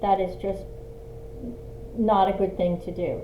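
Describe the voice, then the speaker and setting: Against noticeable background noise and audible room echo, a woman talks at a fairly slow pace. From Australia. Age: 60s. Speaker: lifestyle vlogger. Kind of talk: casual tutorial. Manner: halting with fillers.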